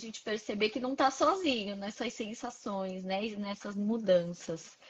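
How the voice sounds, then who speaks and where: The woman's pitch is fairly high, with ordinary pitch variation. She has an unremarkable speaking voice and talks at a fairly slow pace. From Brazil, Santos (São Paulo). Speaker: psychologist. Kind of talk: casual interview. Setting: live stream video call.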